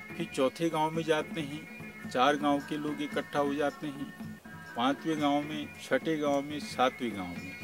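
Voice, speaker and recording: Over music in the background, a man with a fairly high pitch speaks with very wide pitch swings. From Almora, Uttarakhand, India. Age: old. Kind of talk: interview answer.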